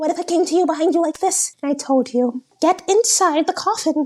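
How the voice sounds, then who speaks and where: Putting on a squeaky character voice with a British accent, a woman speaks at an extremely high pitch and a fairly quick pace, with ordinary pitch variation and very even loudness. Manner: menacing, disguised.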